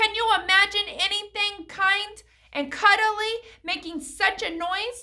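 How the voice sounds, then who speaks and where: A woman's put-on character voice, extremely high-pitched and fairly slow. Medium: read story.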